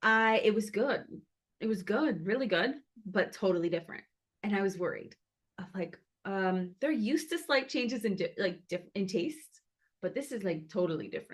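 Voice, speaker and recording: A woman speaks at a moderate pace in a medium-pitched, somewhat breathy voice with lively intonation. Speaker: ceremonial cacao maker and community leader. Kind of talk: casual community gathering talk. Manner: halting, many fillers.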